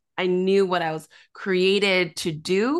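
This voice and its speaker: A woman speaks in an unremarkable speaking voice at a medium pitch. Her intonation stays fairly even. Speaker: author and pastor. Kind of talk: casual interview chat, testimony.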